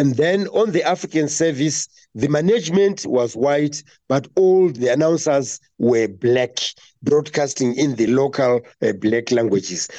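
This man's fairly high-pitched voice has a dark, mellow tone, very even loudness and a fairly slow pace. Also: lively intonation. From Zimbabwe. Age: 60s. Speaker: veteran radio broadcaster. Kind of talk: interview. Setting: remote call from home. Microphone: poor internet connection.

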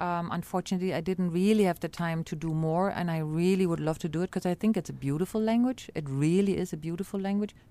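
Her voice is fairly low in pitch and dark and mellow in tone, as this woman speaks at a very fast pace with hardly any pauses. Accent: German. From East Berlin, Germany. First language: German. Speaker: ambassador. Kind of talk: interview. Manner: hesitant.

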